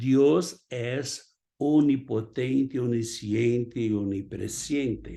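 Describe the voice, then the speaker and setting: The man's tone is dark and mellow. He talks very slowly. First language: Portuguese (speaking Spanish). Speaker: pastor. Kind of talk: sermon.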